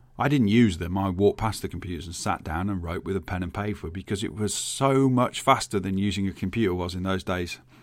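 Speaking with a Birmingham accent, a man has a very deep, low voice. He talks at a very fast pace with hardly any pauses. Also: ordinary pitch variation. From England, Birmingham. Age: 40s. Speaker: podcast host, IT specialist. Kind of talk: solo podcast monologue.

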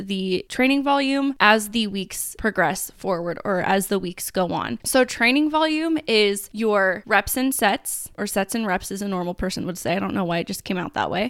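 This woman has a normal speaking voice at a medium pitch. Her pace is moderate, with ordinary pitch variation. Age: 20s. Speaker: personal trainer and podcast host. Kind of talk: solo podcast talk. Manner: casual, chatty.

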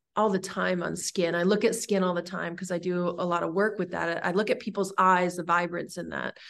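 Speaking at a fairly quick pace with hardly any pauses, a woman uses a fairly low pitch, vocal fry and a monotone, flat intonation. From California. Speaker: herbalist and body care entrepreneur. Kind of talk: interview conversation.

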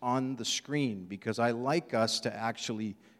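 Fairly even intonation in a natural reading voice

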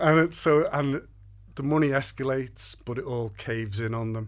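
With a Liverpool accent, a man talks at a moderate pace with ordinary pitch variation. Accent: Scouse. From Liverpool, northern England. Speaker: playwright. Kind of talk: casual interview.

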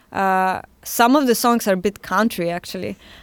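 A woman with a Russian accent speaks at a fairly slow pace with ordinary pitch variation. The sound is dry and close with no echo, on a very clean recording with a silent background. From Siberia, Russia. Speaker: musician and fashion designer. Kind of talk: interview.

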